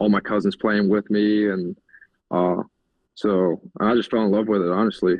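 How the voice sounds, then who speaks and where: A man with a slight Southern US accent talks at a moderate pace in a fairly low, monotone, flat voice. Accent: southern-tinged. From Germany. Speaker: college football tight end. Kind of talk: podcast interview answer.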